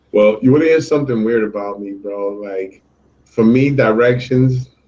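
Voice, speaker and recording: A man speaks with a New York accent. His tone is dark and mellow. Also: medium pitch for a man, ordinary pitch variation, moderate pace. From New York City, Puerto Rican heritage. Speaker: show co-host. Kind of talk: casual chat.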